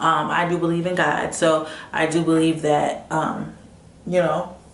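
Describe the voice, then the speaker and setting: Noticeable background noise sits behind a woman's voice. She speaks at a fairly low pitch with monotone, flat intonation. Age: 20s. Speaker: motivational vlogger. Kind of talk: casual talk to camera.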